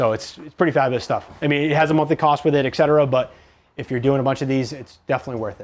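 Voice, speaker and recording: Talking at a very fast pace, a man uses a fairly high pitch. His intonation is fairly even while his loudness swings widely. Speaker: mechanical engineer presenter. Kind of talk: technical presentation.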